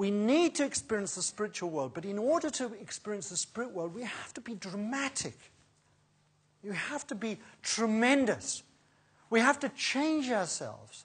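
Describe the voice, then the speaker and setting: Somewhat breathy, this voice swings very widely in pitch at a moderate pace, with long, frequent pauses. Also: woman. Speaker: preacher. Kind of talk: sermon. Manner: animated.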